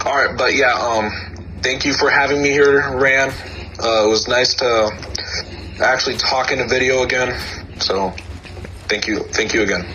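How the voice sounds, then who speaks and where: With audible room echo and noticeable background noise, a man at medium pitch talks at a moderate pace, keeping his loudness very even and his intonation fairly even, broken by long, frequent pauses. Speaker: game creator. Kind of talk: casual chat.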